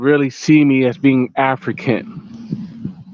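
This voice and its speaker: The voice has an American accent and ordinary pitch variation. The sound is dry and close, with no echo. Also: man. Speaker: vlogger. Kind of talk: casual rant to camera. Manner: repetitive, conversational with fillers.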